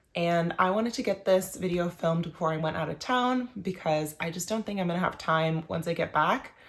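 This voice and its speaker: A woman with a fairly low pitch talks at a fairly quick pace with hardly any pauses and ordinary pitch variation. Noticeable background noise is present. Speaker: knitting video creator. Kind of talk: casual vlog talk to camera.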